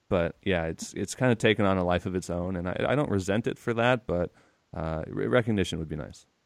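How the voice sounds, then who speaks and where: Speaking with an American accent, a man with a very deep, low pitch talks at a fairly quick pace with ordinary pitch variation. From California. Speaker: video game journalist. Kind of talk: comedic interview.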